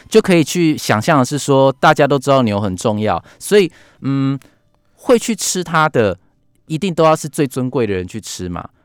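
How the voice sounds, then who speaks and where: On a very clean, silent-background recording with a dry, close sound and no echo, a man talks at a moderate pace, his fairly high pitch swinging very widely. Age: 30s. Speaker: book editor. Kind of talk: radio interview. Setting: radio studio.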